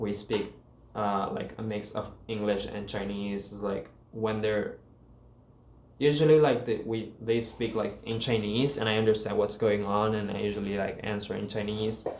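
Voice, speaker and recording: Audible room echo surrounds a man speaking at a moderate pace with a fairly low pitch and fairly even intonation. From Paraguay. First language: Guarani. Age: 20s. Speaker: student vlogger. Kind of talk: casual vlog talk.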